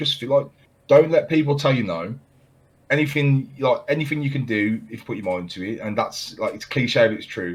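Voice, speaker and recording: Speaking at a fairly quick pace with a British accent, this voice has lively intonation and vocal fry. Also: man. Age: 20s. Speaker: podcast host and part-time streamer. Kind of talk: casual chat. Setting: video call.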